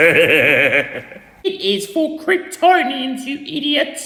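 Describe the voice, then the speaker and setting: A cartoonish character voice talks at a high pitch and a very slow pace, with slight echo. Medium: puppet. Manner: snappish, threatening.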